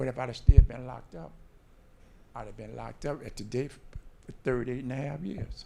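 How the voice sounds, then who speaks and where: Dark and mellow in tone, a man with medium pitch and vocal fry talks at a fairly quick pace, his loudness swinging widely and his pitch varying in an ordinary way. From New Orleans. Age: 60s. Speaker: formerly incarcerated speaker. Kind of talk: panel discussion.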